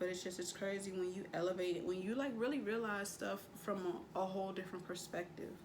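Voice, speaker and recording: A woman talks at a very fast pace at medium pitch, with ordinary pitch variation and hardly any pauses. The room echoes audibly and background noise is noticeable. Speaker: tarot reader. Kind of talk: tarot reading. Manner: casual, slangy.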